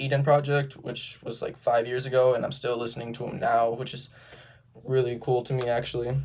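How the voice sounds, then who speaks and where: This man talks at a fairly quick pace in a medium pitch. His intonation is monotone and flat, and the voice is somewhat breathy. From Sturgis, Michigan, US Midwest. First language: Romanian. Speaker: college student. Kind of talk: self-introduction video. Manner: casual, with filler words and occasional stutters.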